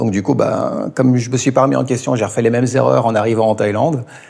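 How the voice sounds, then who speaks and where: A man speaks over noticeable background noise. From France, Ain department. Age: 40s. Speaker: teacher. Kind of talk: interview. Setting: in-person interview in Thailand. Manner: halting, many hesitations.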